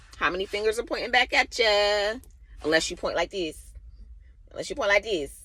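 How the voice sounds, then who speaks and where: A woman with an American accent talks loudly at a medium pitch, in a bright, sharp tone with lively intonation. Her pace is fairly quick, broken by long, frequent pauses. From Baltimore, US. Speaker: spiritual vlogger. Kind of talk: casual monologue. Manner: direct.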